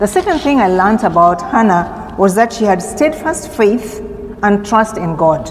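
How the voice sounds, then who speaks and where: A woman speaks at a medium pitch and a moderate pace with lively intonation. Noticeable background noise and audible room echo fill the recording. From Kenya. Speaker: seminary intern preacher. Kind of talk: sermon. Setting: church.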